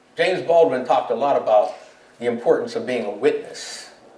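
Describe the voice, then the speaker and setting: A man with an American accent talks at a moderate pace. There is audible room echo. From Pittsburgh, Pennsylvania. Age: 70s. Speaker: poet and war veteran. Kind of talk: panel discussion. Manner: reflective, with frequent fillers.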